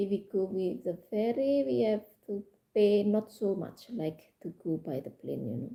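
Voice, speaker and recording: Speaking at a fairly slow pace in an Indonesian accent, a woman with a medium pitch and a dark, mellow tone makes very wide pitch swings. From Indonesia, Java. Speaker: live streamer. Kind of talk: casual chat. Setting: live stream. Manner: halting.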